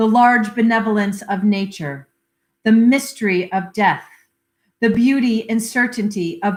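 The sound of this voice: The delivery is an unforced reading voice with fairly even intonation. The background is quiet.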